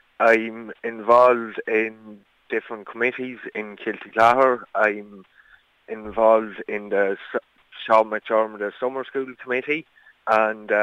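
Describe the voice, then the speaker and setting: With a northwest Irish accent, a man speaks at a fairly slow pace and medium pitch in a monotone, flat intonation. His tone is bright and sharp, and the sound is dry and close with no echo. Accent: rural northwest Irish. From Ireland, County Leitrim. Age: 20s. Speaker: local election candidate. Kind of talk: radio news interview.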